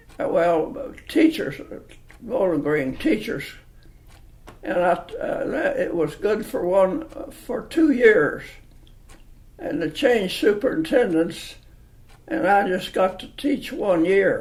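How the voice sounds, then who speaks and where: At a very slow pace with long, frequent pauses and very wide pitch swings, this speaker has a rural Kentucky accent, with noticeable background noise and audible room echo. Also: man, high pitch for a man. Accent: Kentucky rural Southern. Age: 80s+. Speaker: interviewee. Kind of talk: oral history interview. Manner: halting.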